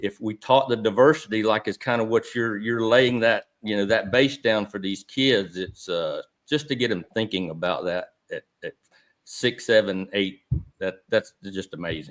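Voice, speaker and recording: A man with an American accent speaks at a medium pitch and a moderate pace. His pitch varies in an ordinary way, and the sound is dry and close with no echo. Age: 60s. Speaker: regenerative agriculture consultant, podcast co-host. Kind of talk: casual discussion. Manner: halting, repeats words.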